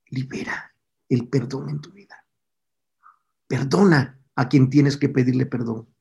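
A man's dark, mellow voice with vocal fry, fairly even intonation, big swings in loudness, and long, frequent pauses. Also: medium pitch for a man, fairly slow pace. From Mexico (Tabasco, raised in Puebla). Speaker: pastor, former singer. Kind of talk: sermon; testimony.

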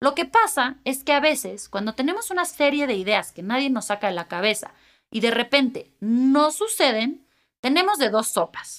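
Speaking in a Mexican accent, a woman uses a high pitch with very wide pitch swings. Her pace is moderate. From Mexico. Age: 30s. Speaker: podcast host. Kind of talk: solo podcast monologue.

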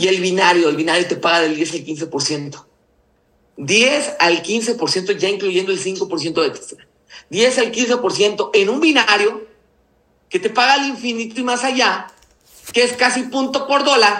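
With a raised, projected voice and lively intonation, a man speaks at a high pitch and a fairly slow pace. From Mexico, Nayarit. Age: 30s. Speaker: network marketing leader. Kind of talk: business mentoring talk.

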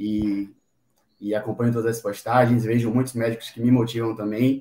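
Here a man speaks with a dark, mellow tone. His intonation is monotone and flat. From Brazil, Bahia (Salvador). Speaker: medical student and amateur runner. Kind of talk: interview. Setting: live stream.

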